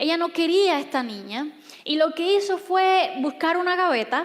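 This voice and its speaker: At a fairly slow pace, a woman is talking. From Cuba. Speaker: pastor. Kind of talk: sermon. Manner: soft-spoken.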